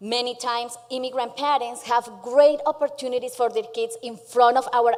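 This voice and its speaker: A woman's high voice comes through noticeable background noise. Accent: Colombian. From Colombia. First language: Spanish. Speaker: small business founder. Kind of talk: pitch presentation. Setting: stage with audience.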